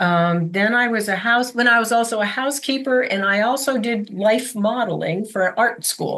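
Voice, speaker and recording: A woman's bright, sharp tone at a fairly high pitch, with ordinary pitch variation, a moderate pace and hardly any pauses. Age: 70s. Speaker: abuse survivor, artist and author. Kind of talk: interview testimony. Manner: halting.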